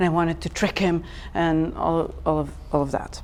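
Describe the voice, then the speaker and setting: The speaker is a woman. She has a Serbian accent. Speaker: designer. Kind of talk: meetup talk. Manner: animated.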